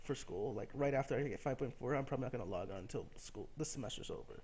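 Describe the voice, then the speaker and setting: Fairly high and carrying vocal fry, a man's voice has lively intonation and a fairly quick pace. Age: 20s. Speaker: gaming YouTuber. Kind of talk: casual gameplay commentary monologue. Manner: rambling, with many fillers.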